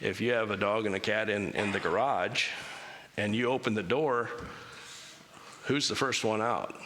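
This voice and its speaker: A man at a moderate pace with ordinary pitch variation and long, frequent pauses, amid noticeable background noise and audible room echo. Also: very even loudness. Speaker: church speaker. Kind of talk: church talk with Q&A. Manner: casual, conversational.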